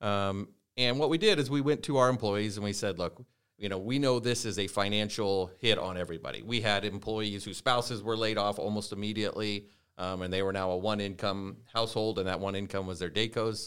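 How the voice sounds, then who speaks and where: A man's fairly low voice with a Midwestern US accent, at a fairly quick pace, on a very clean recording with a silent background. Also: ordinary pitch variation. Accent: US Midwest. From Nebraska, Norfolk. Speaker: company CEO. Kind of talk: interview.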